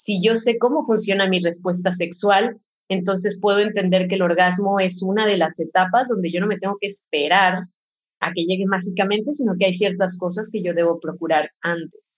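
Somewhat breathy, a woman talks with fairly even intonation. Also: medium pitch for a woman, moderate pace. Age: 30s. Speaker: pleasure educator. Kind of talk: casual chat.

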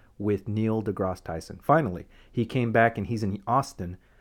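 On a very clean recording with a silent background, a man with a plain, everyday voice speaks at a fairly low pitch, a moderate pace and fairly even intonation. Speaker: podcast host. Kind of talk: casual chat.

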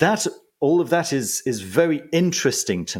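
A man's voice with vocal fry at a moderate pace. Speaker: magician and esoteric book reviewer. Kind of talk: casual interview chat. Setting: remote call from home. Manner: calm, relaxed.

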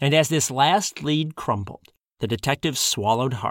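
An unforced reading voice carries the words. Pitch varies in an ordinary way over a quiet background.

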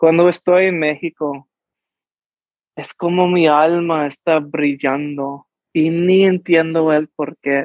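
A man's fairly high, monotone voice with flat intonation and an American accent, at a very slow pace. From New Mexico, US. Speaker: actor and musician. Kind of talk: interview. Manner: halting.

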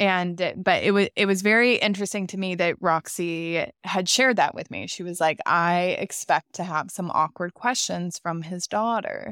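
A woman at medium pitch and moderate pace, with ordinary pitch variation and hardly any pauses, an unremarkable speaking voice, and a dry, close sound with no echo on a very clean recording with a silent background. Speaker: podcast host. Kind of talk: storytelling and commentary.

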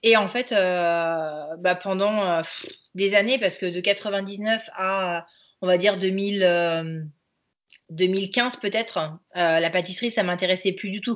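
Speaking at a very slow pace, a woman uses a medium-pitched voice with fairly even intonation. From France, Angers. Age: 30s. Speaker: pastry chef and consultant. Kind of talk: casual interview. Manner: hesitant, many fillers.

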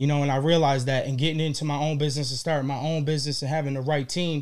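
A man with a fairly high pitch speaks in a flat monotone. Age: 30s. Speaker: gourmet popcorn business owner. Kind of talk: casual interview chat.

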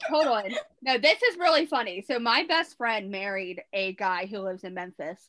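A woman with a strong Baltimore accent speaks at a moderate pace and fairly high pitch, in a bright, sharp tone with very wide pitch swings. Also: big swings in loudness. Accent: thick Baltimore. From Baltimore, Maryland. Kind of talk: casual chat.

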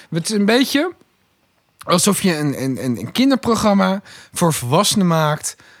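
A man speaks at a fairly slow pace. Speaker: podcast guest. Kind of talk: casual chat. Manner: animated.

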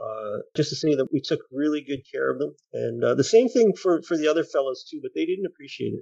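A man talks at a fairly quick pace with hardly any pauses, his voice dry and close with no echo. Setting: remote call. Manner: halting.

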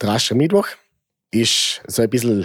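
This man talks at a moderate pace with a Vorarlberg accent, his medium pitch showing ordinary pitch variation. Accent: Montafon Vorarlberg dialect. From Austria, Vorarlberg, Montafon. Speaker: bonfire club member. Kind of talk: interview.

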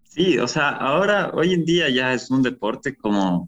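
A man's lively intonation at a fairly slow pace, with music in the background. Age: 20s. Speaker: music producer, DJ and parkour athlete. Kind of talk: casual interview conversation.

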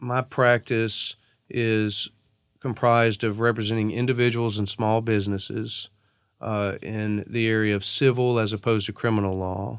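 A man's fairly even intonation comes through on a very clean recording with a silent background. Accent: Louisiana. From northwest Louisiana (Natchitoches). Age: 30s. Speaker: attorney. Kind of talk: interview conversation. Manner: hesitant fillers, frequent uh and you know.

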